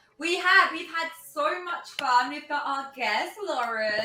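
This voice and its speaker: A woman's raised, projected voice amid noticeable background noise and audible room echo. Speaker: tabletop game streamer. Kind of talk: casual chat. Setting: live stream. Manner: animated.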